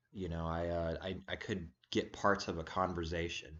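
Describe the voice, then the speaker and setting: This man's voice is very deep and low. His intonation is monotone and flat. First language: Serbian. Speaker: religious video blogger. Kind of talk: casual monologue vlog. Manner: halting.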